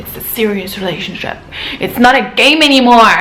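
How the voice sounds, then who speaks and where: Over noticeable background noise and audible room echo, a woman speaks at a fairly slow pace with a non-native accent. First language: not English. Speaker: vlogger. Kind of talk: casual advice vlog.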